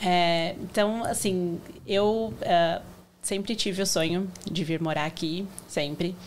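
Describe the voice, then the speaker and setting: A woman talks very slowly at a medium pitch. Her pitch rises and falls in an ordinary way. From Brazil, Santo André (São Paulo region). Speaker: supermarket owner. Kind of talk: casual interview.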